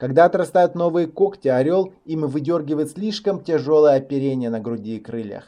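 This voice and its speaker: With a dark, mellow tone, this man speaks at a fairly high pitch and with lively intonation. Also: moderate pace. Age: 20s. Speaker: motivational speaker and online course teacher. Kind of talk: recorded online course lesson. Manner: formal, scripted delivery.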